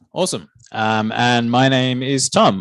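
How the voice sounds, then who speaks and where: Recorded very cleanly against a silent background, a man speaks with an Australian accent. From Australia (Newcastle, NSW). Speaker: software engineer giving a guest talk. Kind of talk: guest lecture to students.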